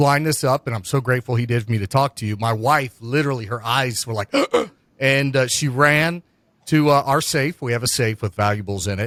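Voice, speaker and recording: In an unremarkable speaking voice, a man with an American accent talks at a moderate pace and medium pitch, with ordinary pitch variation and a dry, close sound with no echo. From US Midwest, Cincinnati area. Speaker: podcast host. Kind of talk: podcast interview. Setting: video call.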